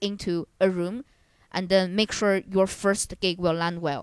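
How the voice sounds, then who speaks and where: A woman of medium pitch with a Chinese accent is heard in a very clean recording with a silent background and a dry, close sound with no echo. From China. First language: Mandarin Chinese. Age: 20s. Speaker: stand-up comedian. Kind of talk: casual chat.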